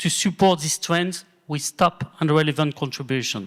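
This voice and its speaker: With a French accent, a man speaks at a moderate pace with ordinary pitch variation on a very clean recording with a silent background, the sound dry and close with no echo. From France. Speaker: asset management executive and award co-founder. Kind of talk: award ceremony speech.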